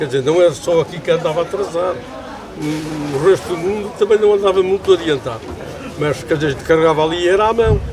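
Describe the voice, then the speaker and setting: Amid crowd noise and audible room echo, a man speaks at a very fast pace in a high pitch. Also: ordinary pitch variation. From Azores, Pico island. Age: 80s+. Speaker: elderly islander telling life stories. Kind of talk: interview. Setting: outdoors at a family pig slaughter.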